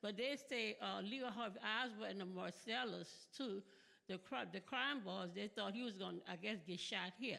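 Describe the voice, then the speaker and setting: Here is a woman with vocal fry and a bright, sharp tone. She speaks at a moderate pace. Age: 70s. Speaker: audience member asking a question. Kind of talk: audience question at conference. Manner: halting, repetitive.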